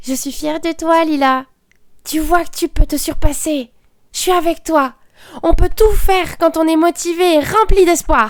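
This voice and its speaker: In a put-on character voice, a female-sounding voice at an extremely high pitch moves at a moderate pace with long, frequent pauses. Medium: audio drama. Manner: upbeat, encouraging.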